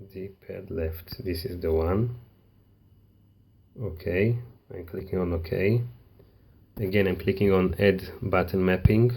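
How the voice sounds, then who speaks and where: With a non-native accent, the speaker has a dark, mellow, somewhat breathy tone, a very slow pace with long, frequent pauses, and fairly even intonation. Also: man, very deep, low pitch for a man, big swings in loudness. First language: not English. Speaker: tech tutorial maker. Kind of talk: tutorial. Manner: halting.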